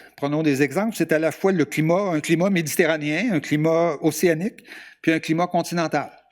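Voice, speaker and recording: On a very clean recording with a silent background, a man with a fairly high pitch speaks at a moderate pace, using ordinary pitch variation. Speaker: journalist giving a lecture. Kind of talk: lecture. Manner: halting, many hesitations.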